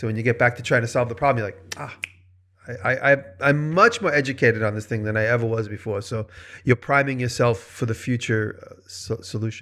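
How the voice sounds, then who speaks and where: In a very clean recording with a silent background, a man with an American accent speaks at a fairly quick pace and medium pitch, his tone bright and sharp, with ordinary pitch variation and big swings in loudness. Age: 50s. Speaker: maker and video creator. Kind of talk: casual chat.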